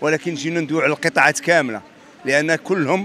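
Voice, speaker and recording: A man's voice comes through dry, with no echo. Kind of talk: interview answer. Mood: indignant complaint. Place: street. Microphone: handheld.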